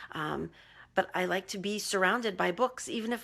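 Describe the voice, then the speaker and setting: Moderate pace, vocal fry and ordinary pitch variation in a very clean recording with a silent background. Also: woman. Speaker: life coach. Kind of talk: live video coaching talk. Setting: Facebook Live video.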